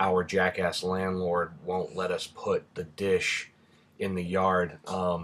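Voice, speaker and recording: A man speaks at a very slow pace in a very deep, low pitch. His intonation is monotone and flat. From Rhode Island. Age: 30s. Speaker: vlogger. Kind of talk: casual vlog answering questions.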